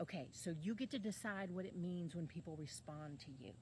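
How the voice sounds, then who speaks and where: This woman speaks at a moderate pace in a fairly low pitch, her voice somewhat breathy. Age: 50s. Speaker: online life coach. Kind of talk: casual monologue to camera.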